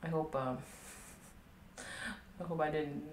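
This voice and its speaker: There is audible room echo and noticeable background noise. A woman with an American accent speaks at a very deep, low pitch. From Texas. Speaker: art streamer and art teacher. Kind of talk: casual livestream chat while drawing. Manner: rambling, laughs often. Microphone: quiet, varying distance to mic.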